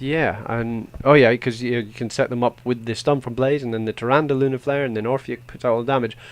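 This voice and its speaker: With a Scottish accent, a man speaks fairly quickly at a medium pitch in a monotone, flat intonation. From Scotland. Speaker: esports caster. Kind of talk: live commentary. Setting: live stream.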